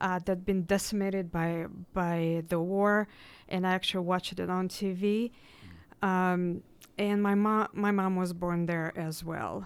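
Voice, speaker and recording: Someone with a Russian accent talks at a fairly slow pace in a monotone, flat intonation, on a very clean recording with a silent background. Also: woman, medium pitch for a woman. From Russia (Irkutsk, Tatarstan). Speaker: graduate student and nonprofit organizer. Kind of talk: radio panel discussion.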